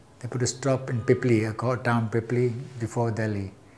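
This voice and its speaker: This man's medium-pitched voice is somewhat breathy, with monotone, flat intonation. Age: 60s. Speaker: retired airport cargo handler, witness. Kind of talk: oral history interview testimony. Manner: halting, with false starts.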